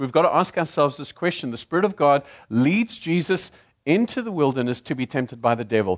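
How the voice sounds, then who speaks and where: Dry and close with no echo over a quiet background, a man's fairly high voice moves at a fairly quick pace with very wide pitch swings. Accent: South African. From Zimbabwe. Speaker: guest preacher. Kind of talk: sermon. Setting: church.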